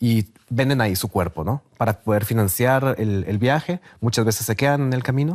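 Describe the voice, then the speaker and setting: A man speaks at a moderate pace and medium pitch with lively intonation and hardly any pauses. His loudness stays very even, and the sound is dry and close with no echo. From Guatemala. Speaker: sociologist and documentary maker. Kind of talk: TV interview. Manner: halting, many repetitions and fillers.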